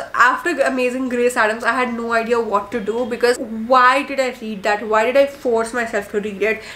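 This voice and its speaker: Against noticeable background noise, a woman with a fairly high pitch speaks at a moderate pace with hardly any pauses and fairly even intonation. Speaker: book reviewer. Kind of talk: casual monologue video. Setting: home video recording. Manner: warm, chatty.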